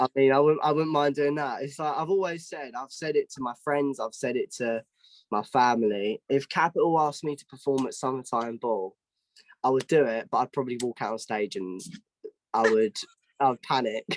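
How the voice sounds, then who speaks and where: Speaking at a fairly quick pace with a southeast English accent, a man's fairly high voice shows ordinary pitch variation in a dry, close sound with no echo. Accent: southeast English, London-ish. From southeast England (Kent). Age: young. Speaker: singer-songwriter. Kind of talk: interview. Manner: halting with many restarts.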